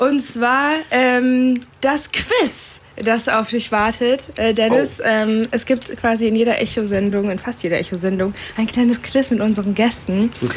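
Noticeable background noise runs under the recording. A woman with a fairly high pitch speaks fairly slowly, with ordinary pitch variation. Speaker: student radio host. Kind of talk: interview.

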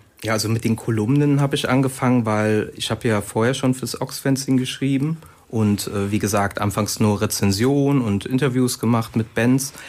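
In a normal speaking voice, a man of medium pitch talks at a moderate pace with fairly even intonation. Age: 30s. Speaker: author and drummer. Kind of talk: radio interview.

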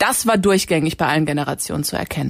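The woman's pitch shows ordinary variation. She talks at a very fast pace. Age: 20s. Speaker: university student and campus radio editor. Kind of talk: casual chat.

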